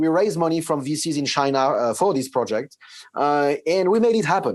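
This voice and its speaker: In a very clean recording with a silent background, a man with a French accent speaks at a moderate pace, his pitch fairly high with ordinary variation. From France. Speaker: tech company CEO. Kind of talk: interview. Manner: halting, with many fillers and repeats.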